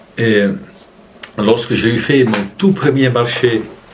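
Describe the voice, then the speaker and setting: A man is talking while noticeable background noise carries on around him. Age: 60s. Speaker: storyteller and actor, farmer. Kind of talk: interview answer.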